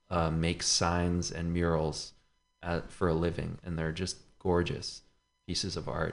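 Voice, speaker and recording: A man's very deep, low voice at a fairly slow pace, with music in the background. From San Francisco. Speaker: musician. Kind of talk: casual chat.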